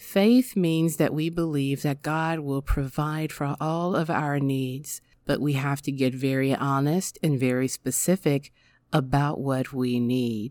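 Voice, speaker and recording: At a very slow pace, a woman with a very deep, low pitch speaks with fairly even intonation in a very clean recording with a silent background. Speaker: podcast host and prayer leader. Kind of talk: fervent prayer, spoken aloud in faith. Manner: earnest, heartfelt, reverent; steady, devotional, affirming.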